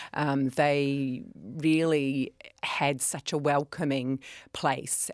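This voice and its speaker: A woman's very deep, low voice with a slight New Zealand accent and monotone, flat intonation. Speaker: kindness organisation director. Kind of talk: radio interview.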